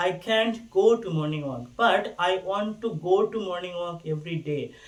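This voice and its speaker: Speaking with a Bangladeshi accent, a man uses a high pitch with ordinary variation. His pace is fairly slow, with hardly any pauses. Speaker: university student. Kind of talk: casual talk to camera.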